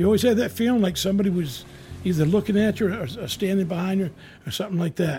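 A man speaks at a very fast pace with a high pitch and ordinary pitch variation. Music plays in the background. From coastal Maine. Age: 60s. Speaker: retired Coast Guard member. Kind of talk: storytelling interview. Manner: halting, repetitive.

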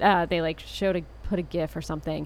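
With vocal fry and a fairly low pitch, a woman speaks at a fairly quick pace using fairly even intonation. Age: 30s. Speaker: podcast co-host. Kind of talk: casual chat.

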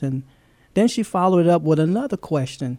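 Dark, mellow male tone, pitch shifting in an ordinary way. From Louisiana. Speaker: pastor. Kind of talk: testimony. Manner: halting.

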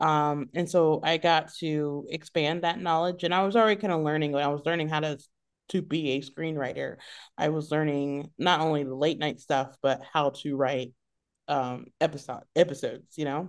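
A woman with a very deep, low pitch speaks at a moderate pace with fairly even intonation against a quiet background. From US South, South Carolina, childhood partly in Europe. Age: 40s. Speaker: comedy writer and improviser. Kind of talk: casual interview. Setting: video call.

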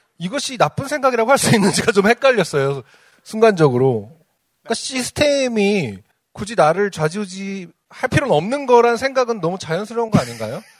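This man talks at a fairly quick pace in a high pitch. His pitch swings very widely. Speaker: podcast co-host. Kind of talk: casual chat.

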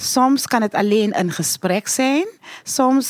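A woman with lively intonation speaks at a very slow pace, captured dry and close with no echo on a very clean recording with a silent background. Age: old. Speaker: Winti priestess. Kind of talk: interview. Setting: studio.

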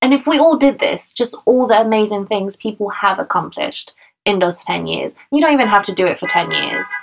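A woman's ordinary speaking voice, fairly high in pitch, with lively intonation. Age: 30s. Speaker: podcast co-host. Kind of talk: casual chat. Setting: recording at home in a bedroom.

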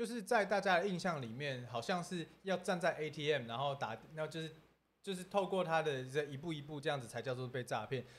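Fairly high-pitched male speech with lively intonation at a fairly quick pace, in an ordinary speaking voice. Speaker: entertainer, scam victim sharing story. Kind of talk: casual livestream chat. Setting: livestream studio.

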